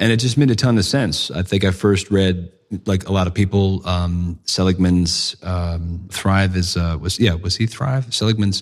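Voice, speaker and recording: Here a man with an American accent speaks at a moderate pace. His pitch is very deep and low, and the recording is very clean with a silent background. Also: ordinary pitch variation. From United States. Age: 50s. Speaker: ethics of technology advocate. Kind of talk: casual conversation. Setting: in-person in a library-like room.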